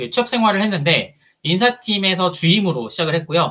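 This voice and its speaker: A man's high, raised, projected voice, bright and sharp in tone, swings very widely in pitch at a fairly quick pace. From Busan, South Korea. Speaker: HR consultant and career coach. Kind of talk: conference talk. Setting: stage with audience.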